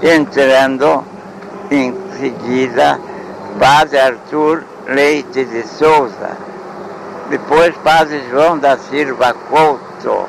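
Over noticeable background noise, a man with a fairly high voice speaks at a very slow pace with fairly even intonation and long, frequent pauses. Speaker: elderly local historian. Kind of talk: oral history interview.

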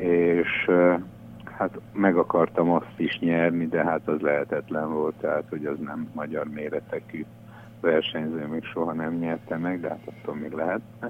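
Very deep, low male speech at a fairly slow pace, flat and monotone in intonation. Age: 70s. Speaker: business founder. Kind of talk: radio interview. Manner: halting, with fillers.

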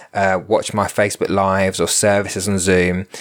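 Moderately paced male speech, a very clean recording with a silent background. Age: 40s. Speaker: podcast host and spiritual medium. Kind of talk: solo monologue podcast. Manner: halting.

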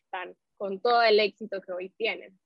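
The voice is a plain, everyday voice, belonging to a woman of medium pitch. She keeps a moderate pace and fairly even intonation. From Nicaragua. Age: 20s. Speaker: entertainment journalist. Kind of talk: interview.

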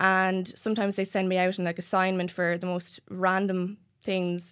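Heard in a very clean recording with a silent background, a woman with an Irish accent speaks at medium pitch and a moderate pace. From Ireland, County Wexford. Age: 30s. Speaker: magazine editor. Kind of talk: casual chat.

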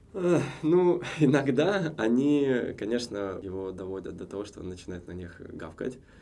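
A voice with a dark, mellow tone sweeps through very wide pitch swings and big swings in loudness. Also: man, medium pitch for a man, fairly slow pace. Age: 30s. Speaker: businessman, former cinema chain executive. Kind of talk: casual chat. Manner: hesitant with frequent filler sounds.

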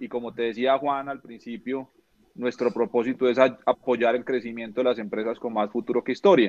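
The man keeps a medium pitch and fairly even intonation while speaking at a fairly quick pace. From Colombia, Neiva, Huila. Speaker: entrepreneur, finance company founder. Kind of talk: casual interview chat. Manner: halting, many repetitions and fillers.

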